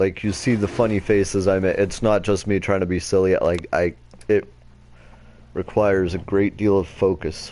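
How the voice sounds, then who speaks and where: A quiet man's voice at a fairly low pitch, dark and mellow in tone, with monotone, flat intonation and very even loudness. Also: moderate pace. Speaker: game streamer. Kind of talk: let's play commentary. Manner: casual, profane.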